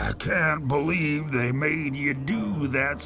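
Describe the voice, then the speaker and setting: Over loud background noise, a man puts on a character voice with a fairly high pitch. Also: fairly slow pace. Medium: machinima. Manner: rambling, folksy, self-amused.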